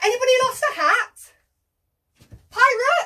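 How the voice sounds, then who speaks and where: Squeaky and extremely high-pitched, a woman puts on a character voice. Her pace is fairly slow. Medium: read story. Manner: eager, excitable.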